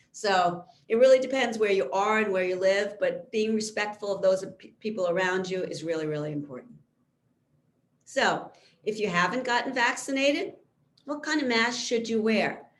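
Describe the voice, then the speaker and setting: A woman's medium-pitched voice with lively intonation, in audible room echo. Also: moderate pace. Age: 60s. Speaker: physician. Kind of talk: lecture.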